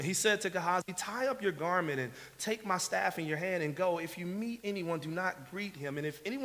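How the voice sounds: Pitch variation stays ordinary in this natural reading voice.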